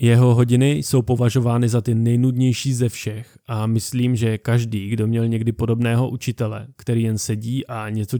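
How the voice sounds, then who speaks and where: A man's dark, mellow tone, monotone and flat in intonation, with hardly any pauses. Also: dry, close sound with no echo. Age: 30s. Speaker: podcast host. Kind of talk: scripted narration.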